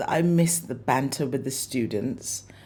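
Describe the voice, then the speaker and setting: A woman is speaking. Her tone is dark and mellow. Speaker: art teacher. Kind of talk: casual interview chat. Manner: hesitant, many fillers.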